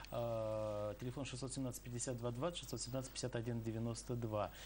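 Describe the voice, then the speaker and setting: Over light background noise, a man talks in a somewhat breathy voice. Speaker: TV host. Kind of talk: live TV interview. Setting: studio. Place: studio.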